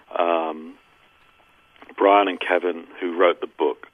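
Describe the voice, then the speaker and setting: A man with a British accent speaks in a very deep, low voice with monotone, flat intonation. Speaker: recording engineer. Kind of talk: interview.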